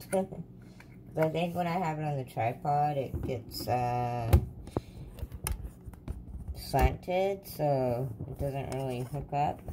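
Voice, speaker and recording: A woman's very deep, low voice at a very slow pace, with long, frequent pauses and music in the background. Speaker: home vlogger. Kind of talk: casual vlog chat. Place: kitchen. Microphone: phone near.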